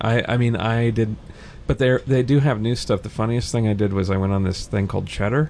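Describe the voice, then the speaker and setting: A man with an ordinary speaking voice, medium pitch, very even loudness, fairly even intonation and a fairly quick pace. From small-town US. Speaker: journalist and author. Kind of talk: casual chat.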